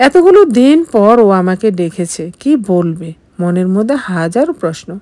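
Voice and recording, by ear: With big pitch swings, a woman talks at a fairly slow pace in a dark, mellow tone. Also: medium pitch for a woman.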